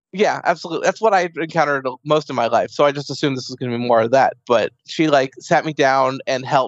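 A man's medium-pitched, normal speaking voice with ordinary pitch variation. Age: 30s. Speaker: person living with an eating disorder. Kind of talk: casual interview.

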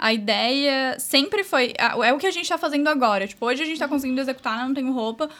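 The voice has a bright, sharp tone and ordinary pitch variation, moving at a very fast pace. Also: woman. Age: 20s. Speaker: entrepreneur. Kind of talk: casual chat.

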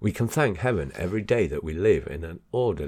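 The reading comes out without strain. Pitch moves around in a lively way.

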